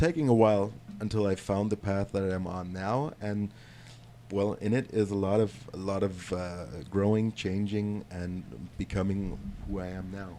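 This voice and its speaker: Fairly low-pitched and dark, mellow in tone, a man with a German accent talks at a moderate pace with fairly even intonation. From Germany. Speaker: tattoo client, medical professional. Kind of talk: casual chat.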